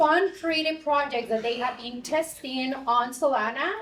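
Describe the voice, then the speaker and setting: Amid noticeable background noise and audible room echo, a woman speaks at a high pitch and a fairly slow pace with fairly even intonation. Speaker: conference moderator. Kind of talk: event moderation, introducing speaker. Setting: stage with audience.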